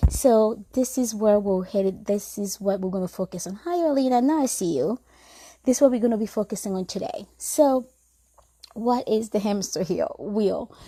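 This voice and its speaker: A woman with a fairly high pitch and a dark, mellow tone speaks at a moderate pace, somewhat breathy and with lively intonation, on a very clean recording with a silent background. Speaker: mental health counselor. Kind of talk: live stream talk. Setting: live video stream with headphones. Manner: uneven pitch, voice going up and down.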